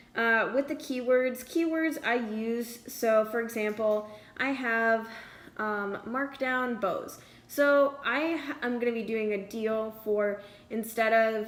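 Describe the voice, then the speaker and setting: The woman's voice sits at a fairly high pitch with fairly even intonation. Noticeable background noise runs underneath. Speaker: student art sale organiser. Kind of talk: screen-recorded tutorial. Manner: hesitant, many fillers.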